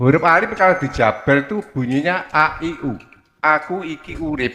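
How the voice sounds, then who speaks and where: A man speaks with lively intonation and a touch of vocal fry. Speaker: congregant asking question. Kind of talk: question to preacher. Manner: polite, deferential.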